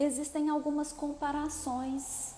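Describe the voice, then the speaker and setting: Noticeable background noise and audible room echo surround the recording. A woman talks at a fairly slow pace. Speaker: therapist. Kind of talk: live stream talk. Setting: live video stream.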